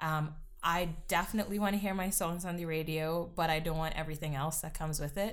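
Very fast speech from a woman with fairly low pitch and fairly even intonation, with audible room echo. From Trinidad. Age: 20s. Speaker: singer-songwriter. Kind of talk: casual interview.

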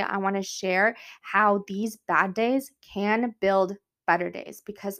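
A woman speaks at a medium pitch with an American accent and an animated tone. The recording is very clean, with a silent background. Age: 20s. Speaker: podcast host, entrepreneur and online personal trainer. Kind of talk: personal monologue, casual. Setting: home recording, sitting on floor. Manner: animated, frequent laughter; halting, many fillers and restarts.

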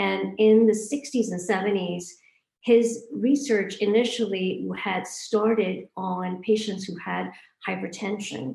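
A woman with a medium pitch and a dark, mellow tone speaks at a very slow pace, with vocal fry. Her loudness swings widely while her pitch varies in an ordinary way. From Hong Kong, born in India. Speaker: physician in obesity medicine. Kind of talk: interview. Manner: halting, many fillers.

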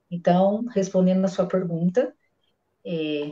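A woman's somewhat breathy voice with a dark, mellow tone, ordinary pitch variation and a fairly slow pace. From Brazil, Minas Gerais. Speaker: bank employee and amateur runner. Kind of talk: casual chat. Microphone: unstable connection.

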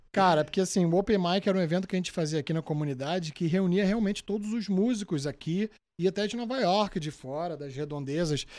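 A man talks at a very fast pace in a high voice with hardly any pauses, on a very clean recording with a silent background. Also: ordinary pitch variation. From Brazil, Rio de Janeiro (Zona Norte). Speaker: singer. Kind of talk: casual interview chat.

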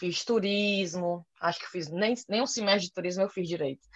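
A woman with a fairly low pitch speaks in a normal speaking voice at a fairly slow pace with ordinary pitch variation. The sound is dry and close, with no echo. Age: 30s. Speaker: journalist and podcaster. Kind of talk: casual interview chat.

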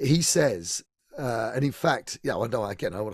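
A somewhat breathy man's voice at medium pitch, with lively intonation and a dry, close sound with no echo. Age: 50s. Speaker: singer and pianist. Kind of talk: casual chat. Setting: video call.

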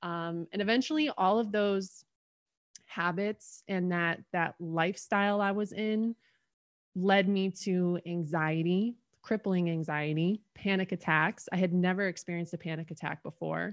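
A woman with a plain, everyday voice speaks at a fairly slow pace and a medium pitch, with ordinary pitch variation, in a dry, close sound with no echo against a quiet background. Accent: American. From Connecticut, US. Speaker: holistic health coach. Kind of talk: casual interview.

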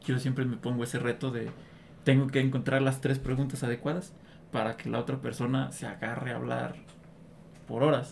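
A man talks at a fairly quick pace in a medium-pitched, somewhat breathy voice with fairly even intonation. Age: 30s. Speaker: guest interviewer. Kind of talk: casual chat.

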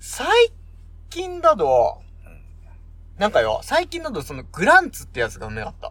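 Pausing long and often, a man speaks at a moderate pace with big swings in loudness. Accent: strong Yamagata. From Japan, Yamagata Prefecture (Kanayama town). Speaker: podcast co-host. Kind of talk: casual chat.

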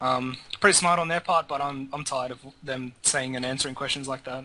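Fairly even intonation in a man's fairly high voice. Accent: Australian. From Australia. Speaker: gaming podcast panelist. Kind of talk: casual chat.

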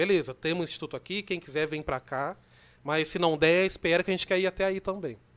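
A man at a high pitch and a very fast pace, in a very clean recording with a silent background. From Brazil, Rio Claro (São Paulo state). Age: 30s. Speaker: community organizer and youth project leader. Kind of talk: casual podcast interview. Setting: studio.

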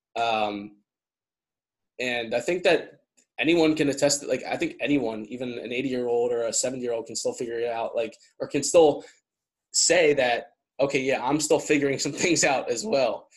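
A plain, everyday voice at a moderate pace, with ordinary pitch variation and a quiet background. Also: man, fairly high pitch for a man. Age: 20s. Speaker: podcast host. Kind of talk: casual interview chat. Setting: video call.

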